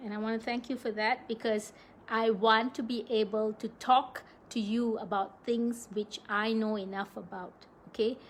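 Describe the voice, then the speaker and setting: At a moderate pace, a woman talks in a somewhat breathy voice with a fairly high pitch and fairly even intonation. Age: 60s. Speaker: wellness live-stream host. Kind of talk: live stream talk. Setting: live video stream.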